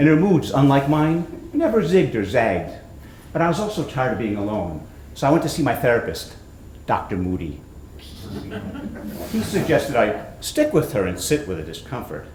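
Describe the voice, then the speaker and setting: The speech is broken by long, frequent pauses. Room echo is audible. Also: man, moderate pace. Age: 60s. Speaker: author and comedic performer. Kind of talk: reading aloud from own book.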